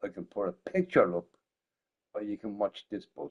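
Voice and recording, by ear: A man's voice shows vocal fry, a slightly mellow tone and a slightly husky edge. His pitch swings widely. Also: fairly low pitch for a man, moderate pace.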